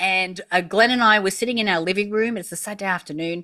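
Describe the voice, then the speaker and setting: With an Australian accent, a woman sounds animated, her bright, sharp tone carrying ordinary pitch variation. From Australia, country town. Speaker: entrepreneur. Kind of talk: interview.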